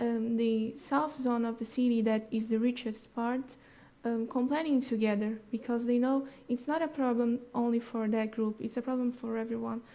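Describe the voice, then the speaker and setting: The voice has a dark, mellow tone and fairly even intonation, moving at a moderate pace. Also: woman, fairly high pitch for a woman. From Brazil, Rio de Janeiro. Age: 20s. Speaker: conference speaker. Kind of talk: audience Q&A. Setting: conference stage with audience. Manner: halting.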